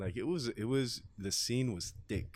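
Speaking at a fairly slow pace, a man uses an ordinary speaking voice with ordinary pitch variation. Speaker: radio host. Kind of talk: casual interview chat. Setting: studio.

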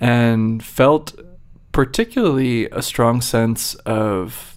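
On a very clean recording with a silent background, a man with an unremarkable speaking voice talks at medium pitch, his intonation fairly even. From Virginia. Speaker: neuroscience researcher. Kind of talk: interview. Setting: studio.

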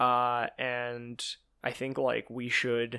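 The recording is very clean with a silent background, and a man talks at a medium pitch. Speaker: podcast co-host. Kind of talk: casual chat. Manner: halting, many fillers.

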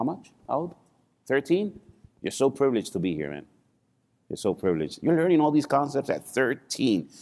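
An animated, fairly high male voice with vocal fry, very wide pitch swings, a fairly quick pace and long, frequent pauses. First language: not English. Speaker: financial services speaker. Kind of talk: seminar talk to live audience. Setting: stage with audience, filmed live. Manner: animated, engages audience with questions.

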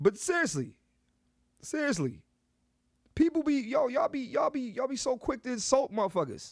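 An extremely high-pitched man talks at a fairly quick pace with lively intonation and an animated tone, broken by long, frequent pauses. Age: 30s. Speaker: comedian and podcast host. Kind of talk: casual monologue. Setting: on the road.

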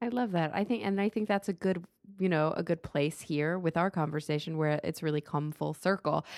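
A woman with an American accent and a fairly low pitch speaks with ordinary pitch variation and very even loudness, on a very clean recording with a silent background. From Texas. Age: 30s. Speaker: podcast host. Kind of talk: casual interview. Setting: home studio.

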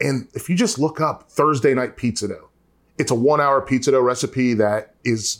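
An unremarkable speaking voice: a man with an American accent, medium pitch and ordinary pitch variation, in a very clean recording with a silent background. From North Carolina. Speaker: college football analyst and home cook. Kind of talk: casual chat.

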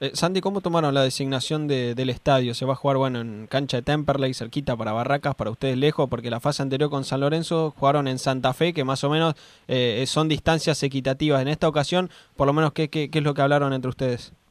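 Very fast and fairly high-pitched, a man talks with fairly even intonation. The sound is dry and close with no echo. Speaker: sports radio co-host. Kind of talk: sports radio talk show.

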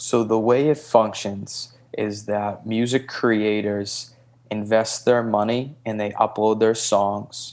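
A man speaks very slowly with an American accent. His fairly low voice stays monotone and flat. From Boston, Massachusetts. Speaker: music company founder. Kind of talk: casual interview. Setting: remote call.

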